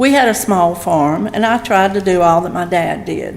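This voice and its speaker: A woman with a Southern US accent, audible room echo and noticeable background noise. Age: 70s. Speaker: pastor's wife. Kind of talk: testimony. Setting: church.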